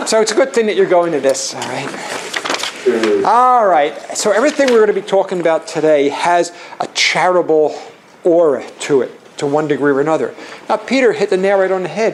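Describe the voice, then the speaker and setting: Noticeable background noise sits behind a man with a high-pitched voice and a Philadelphia accent. He talks at a fairly quick pace with lively intonation. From Philadelphia, US. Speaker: charitable giving and tax planning speaker. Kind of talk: seminar presentation. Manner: halting, many fillers and restarts.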